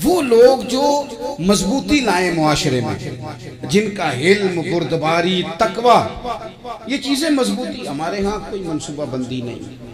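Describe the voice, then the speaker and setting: Over music in the background, a man with a high pitch swings very widely in pitch. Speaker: Islamic preacher. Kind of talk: religious sermon. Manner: emotional, passionate.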